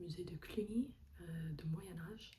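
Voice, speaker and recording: Whispering in an American accent, a woman is heard with audible room echo. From United States. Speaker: travel vlogger. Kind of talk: casual vlog. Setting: room in a rented apartment.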